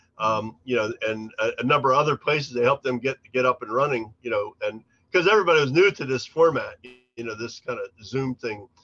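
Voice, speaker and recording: Over music in the background, a man with an American accent talks at a fairly quick pace in a medium pitch. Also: ordinary pitch variation, dry, close sound with no echo. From Pennsylvania. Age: 60s. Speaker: recovery fellowship historian. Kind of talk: interview. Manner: halting, many repetitions.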